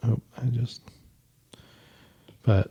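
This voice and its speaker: A somewhat breathy man with a slight Virginia accent speaks in a dark, mellow tone with monotone, flat intonation. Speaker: footwear designer, podcast host. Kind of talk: casual tutorial while sketching. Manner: halting, many fillers.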